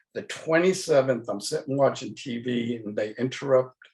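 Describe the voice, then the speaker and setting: Somewhat breathy, a man of medium pitch speaks at a moderate pace with lively intonation. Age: 60s. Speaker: panelist sharing conversion story. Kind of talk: personal testimony.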